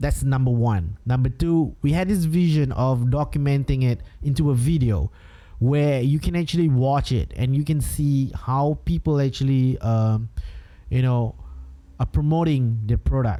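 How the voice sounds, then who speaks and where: With a Singaporean accent, a man speaks at a moderate pace in a dark, mellow, medium-pitched voice, with ordinary pitch variation and very even loudness. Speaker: podcast host, entrepreneur. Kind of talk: solo podcast monologue. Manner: casual, filler-heavy with hesitations.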